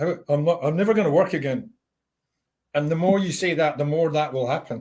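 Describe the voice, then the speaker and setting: This man has an ordinary speaking voice. He talks at a fairly quick pace. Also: fairly high pitch for a man, ordinary pitch variation. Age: 60s. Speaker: life coach. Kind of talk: interview conversation.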